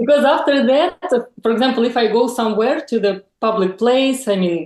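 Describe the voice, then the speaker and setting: A woman with a Russian accent talks at a moderate pace. Her fairly high voice shows ordinary pitch variation. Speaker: lifestyle influencer. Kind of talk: interview. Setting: video call. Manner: halting.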